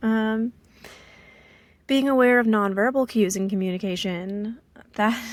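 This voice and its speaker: Fairly slow speech from a woman. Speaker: vlogger sharing personal life. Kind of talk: casual vlog monologue. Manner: flat intonation, little fluctuation; hesitant, many fillers.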